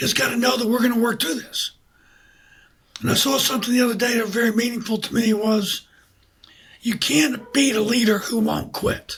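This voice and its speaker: Fairly quick but broken by long, frequent pauses, a man's extremely high voice holds fairly even intonation. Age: 70s. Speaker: business founder and former military officer. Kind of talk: interview.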